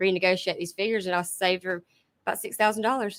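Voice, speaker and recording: A woman with a strong Georgia accent on a very clean recording with a silent background. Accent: thick Southern US (Georgia). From US South, South Georgia. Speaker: car buying advisor. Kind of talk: casual chat. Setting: studio with small audience.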